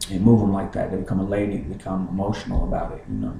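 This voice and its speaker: Over noticeable background noise and audible room echo, a man with an American accent talks at a very fast pace with fairly even intonation. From Kentucky, US. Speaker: rapper. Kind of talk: casual vlog monologue. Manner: halting, many fillers and repeats.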